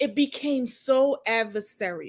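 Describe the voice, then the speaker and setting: A woman with a high pitch on a very clean recording with a silent background. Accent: Harlem. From New York (Harlem). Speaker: executive director, show host. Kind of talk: casual interview chat.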